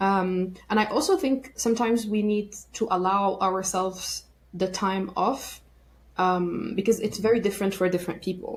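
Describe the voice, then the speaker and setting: Recorded very cleanly over a silent background, a woman speaks in a somewhat breathy voice with fairly even intonation. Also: medium pitch for a woman, moderate pace. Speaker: burnout and workplace wellbeing expert. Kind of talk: podcast interview.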